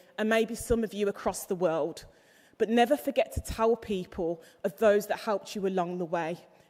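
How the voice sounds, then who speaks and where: Her tone dark and mellow, a woman speaks at medium pitch with ordinary pitch variation. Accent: Birmingham. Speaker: graduation ceremony speaker. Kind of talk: commencement speech. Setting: graduation hall with audience.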